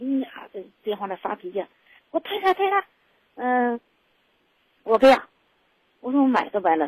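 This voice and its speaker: A woman speaks at a fairly quick pace, the sound dry and close with no echo. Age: 60s. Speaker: radio call-in caller. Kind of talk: personal story on call-in show. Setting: phone call. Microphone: too quiet at first.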